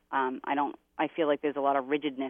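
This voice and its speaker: A woman's very deep, low voice with an American accent, at a moderate pace with monotone, flat intonation. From Massachusetts. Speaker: psychic. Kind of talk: psychic readings for callers.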